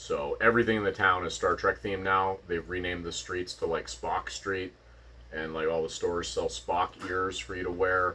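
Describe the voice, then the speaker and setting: A man with a western Canadian accent at a moderate pace. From Vulcan, Alberta, Canada. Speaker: podcast co-host. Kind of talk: casual chat.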